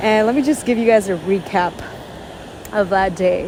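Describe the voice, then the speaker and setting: Noticeable noise sits in the background. The talking is fairly slow. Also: woman. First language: Spanish. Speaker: vlogger. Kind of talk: casual vlog monologue. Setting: outdoors at a beach.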